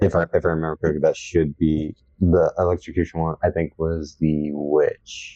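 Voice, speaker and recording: Delivery is monotone and flat at a moderate pace, in a dark, mellow tone. The sound is dry and close, with no echo. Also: man, very deep, low pitch for a man. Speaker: horror podcast host. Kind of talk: casual chat.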